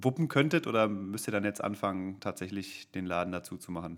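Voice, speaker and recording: At a moderate pace, a man speaks in a fairly low pitch with ordinary pitch variation on a very clean recording with a silent background. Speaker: friend and recurring podcast guest. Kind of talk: casual chat.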